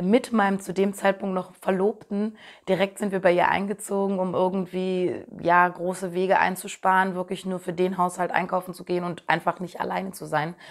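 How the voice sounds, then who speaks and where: A woman talks with hardly any pauses in a monotone, flat intonation. The background is quiet. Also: moderate pace. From Berlin, Germany. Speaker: singer; interviewee. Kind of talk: interview answers. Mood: thoughtful, warm. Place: home room.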